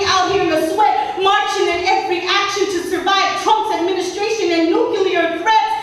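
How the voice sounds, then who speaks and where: With strong room echo, a woman speaks at an extremely high pitch. Her pace is moderate. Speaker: spoken word poet. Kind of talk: spoken word poetry performance.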